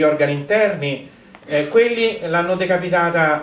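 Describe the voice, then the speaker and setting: His intonation is lively. The man's voice carries audible room echo. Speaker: conference speaker. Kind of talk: lecture. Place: hall.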